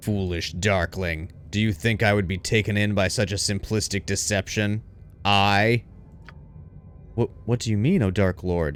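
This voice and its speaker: Putting on a character voice, a man speaks at a moderate pace and fairly low pitch, with clear background noise. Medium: game stream. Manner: menacing, scornful.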